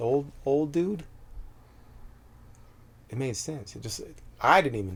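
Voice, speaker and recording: A man at a moderate pace, calm in tone, with ordinary pitch variation. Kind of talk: interview answer. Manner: calm, direct.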